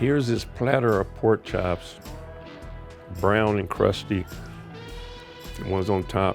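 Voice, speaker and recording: With an American accent, a man talks at a fairly slow pace, pausing long and often. His pitch is fairly low with ordinary variation, and music plays in the background. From Kansas City, Missouri, USA. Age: 80s+. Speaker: home cook, armed forces veteran. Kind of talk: casual storytelling while cooking.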